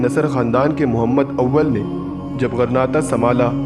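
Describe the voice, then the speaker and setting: Fairly even intonation over music in the background. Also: man. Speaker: voice artist. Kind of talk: history documentary narration.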